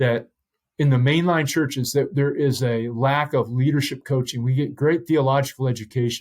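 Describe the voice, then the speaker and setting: With a plain, everyday voice, a man talks at a medium pitch and a moderate pace, his intonation fairly even and his loudness very even. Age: 60s. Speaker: pastor. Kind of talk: interview.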